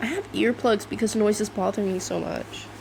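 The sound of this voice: Vocal fry runs through speech delivered at a moderate pace with ordinary pitch variation. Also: woman, medium pitch for a woman.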